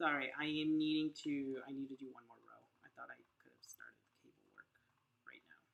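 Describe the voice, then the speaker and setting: Mumbling at a fairly quick pace, a woman speaks with a very deep, low pitch, monotone, flat intonation and big swings in loudness. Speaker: crochet podcaster. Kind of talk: live crochet tutorial. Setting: livestream. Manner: casual, thinking aloud.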